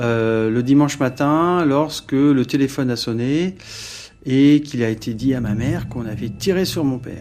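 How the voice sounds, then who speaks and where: Over music in the background, a man with a medium-pitched voice speaks at a fairly slow pace. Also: ordinary pitch variation. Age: 40s. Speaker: victim's son. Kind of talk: testimony. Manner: halting, many hesitations.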